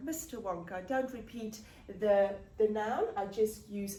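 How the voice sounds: Pitch varies in an ordinary way throughout this natural reading voice.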